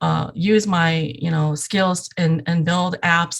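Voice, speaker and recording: Somewhat breathy and fairly low in pitch, a woman speaks with a Southeast Asian accent and fairly even intonation. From Iowa, US (Hmong refugee family, born Thailand). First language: Hmong. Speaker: app developer. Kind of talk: interview podcast. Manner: hesitant with fillers.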